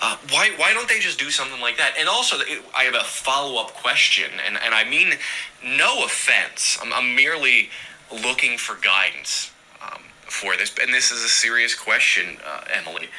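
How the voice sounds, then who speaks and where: There is noticeable noise in the background. A man speaks over it at a moderate pace. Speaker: listener calling in. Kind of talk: voicemail message.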